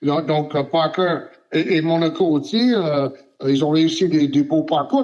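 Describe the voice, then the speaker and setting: Speaking at a fairly slow pace, a man uses a high pitch. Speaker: sports journalist. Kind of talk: interview answer. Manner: hesitant, many filler sounds.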